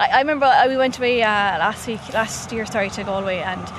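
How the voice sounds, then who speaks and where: Fairly high-pitched woman's voice in a Limerick accent, with ordinary pitch variation, audible room echo and noticeable background noise. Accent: Irish (Limerick). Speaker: journalist. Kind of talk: casual chat.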